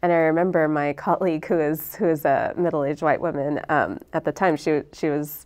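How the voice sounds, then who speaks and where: With an American accent, a woman speaks at a fairly quick pace in a very deep, low pitch. Her intonation is fairly even, and the background is quiet. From Texas. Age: young. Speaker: speaker. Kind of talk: interfaith panel discussion. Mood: thoughtful, engaged. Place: studio. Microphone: lapel.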